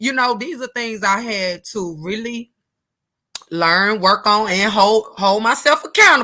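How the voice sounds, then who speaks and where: Her animated tone sits at a fairly high pitch for a woman, with ordinary pitch variation and a fairly slow pace. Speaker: motivational speaker. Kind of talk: live stream talk.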